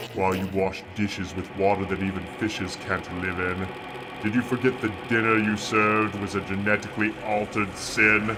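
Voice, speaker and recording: Over loud background noise, a man puts on a character voice at a fairly low pitch and a moderate pace. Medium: stage play. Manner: pompous, condescending, rhyming declamation.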